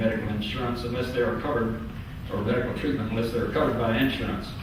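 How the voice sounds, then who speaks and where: A man speaks at a medium pitch with a Southern US accent. Noticeable background noise and audible room echo fill the recording. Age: 70s. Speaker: public hearing witness. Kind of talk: testimony. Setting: public hearing with microphone. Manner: halting with frequent fillers.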